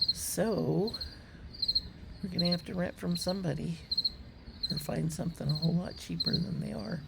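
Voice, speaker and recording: A woman talks at a moderate pace with long, frequent pauses over noticeable background noise. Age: 60s. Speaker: hummingbird vlogger. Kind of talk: casual chat. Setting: outdoors.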